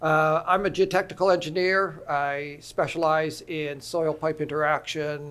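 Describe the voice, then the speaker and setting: The speaker has a Canadian accent and a fairly slow pace. The intonation is monotone and flat. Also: man. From Canada. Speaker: geotechnical engineer. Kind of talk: conference panel talk.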